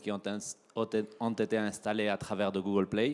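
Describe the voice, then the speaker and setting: Speaking at a fairly slow pace, a man with a Spanish accent uses a fairly low pitch and a flat, monotone intonation. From Spain. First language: Spanish (speaking French). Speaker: tech company regional manager. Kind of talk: keynote presentation. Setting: trade show stage with audience.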